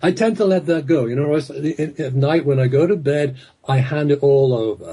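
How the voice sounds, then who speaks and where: In an English accent, a man talks at a moderate pace and fairly high pitch, his somewhat breathy voice dark and mellow in tone, with ordinary pitch variation. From England. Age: 60s. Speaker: hypnotherapist and author. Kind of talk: radio interview.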